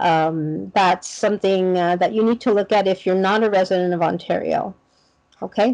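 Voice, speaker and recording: The speaker is a woman. She talks fairly slowly, with ordinary pitch variation. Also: quiet background. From Canada. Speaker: veterinary school admissions officer. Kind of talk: online information session. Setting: video call. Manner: casual. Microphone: video call.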